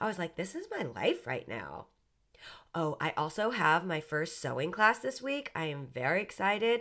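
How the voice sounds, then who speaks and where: In a very clean recording with a silent background, a woman's voice shows vocal fry and very wide pitch swings. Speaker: podcast host. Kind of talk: casual monologue. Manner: slow.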